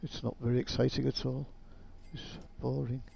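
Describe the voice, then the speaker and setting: A man speaks at a moderate pace in a somewhat breathy voice, his pitch swinging very widely. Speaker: gaming YouTuber. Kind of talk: gameplay commentary. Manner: mumbling.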